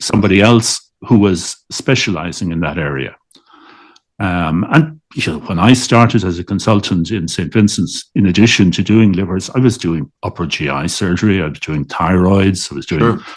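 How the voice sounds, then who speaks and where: At a moderate pace, a man speaks in a very deep, low voice with ordinary pitch variation. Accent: Dublin. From Dublin, Ireland. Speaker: liver transplant surgeon. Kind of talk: interview answer.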